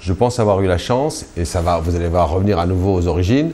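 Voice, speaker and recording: A man speaks with a very deep, low pitch. It shows ordinary variation. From Algeria, Kabylie. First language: Kabyle (Berber) (speaking French). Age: 50s. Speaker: journalist. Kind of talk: interview.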